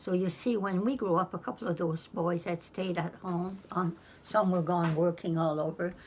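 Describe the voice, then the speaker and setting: Somewhat breathy, a woman speaks at a moderate pace with a fairly low pitch. Her intonation stays fairly even. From Pomquet, Nova Scotia. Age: 90s. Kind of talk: interview answer.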